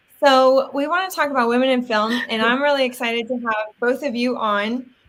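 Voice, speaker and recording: Loud and high-pitched, a woman speaks at a moderate pace with fairly even intonation. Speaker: actor and live stream host. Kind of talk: casual live stream chat. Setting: live video stream. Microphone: Yeti microphone, new to her.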